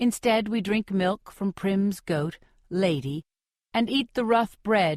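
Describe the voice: Against a quiet background, someone reads aloud plainly.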